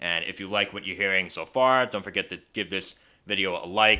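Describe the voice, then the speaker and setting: Speaking very fast with a Long Island accent, a man uses a very deep, low pitch and a bright, sharp tone on a very clean recording with a silent background. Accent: Long Island New York. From Long Island, New York. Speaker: film review vlogger. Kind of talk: casual review monologue.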